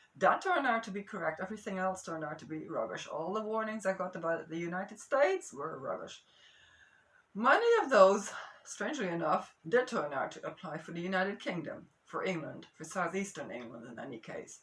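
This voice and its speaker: Amid noticeable background noise, a woman at medium pitch speaks fairly quickly with very wide pitch swings. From Amsterdam, Netherlands. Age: 60s. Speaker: geologist and marine biogeochemist. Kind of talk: casual talk to camera. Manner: mellow.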